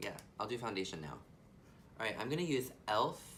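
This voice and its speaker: A man speaks at a medium pitch with lively intonation. The room echo is audible. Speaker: beauty youtuber. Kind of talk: casual chat. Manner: teeth kept closed to hide lisp.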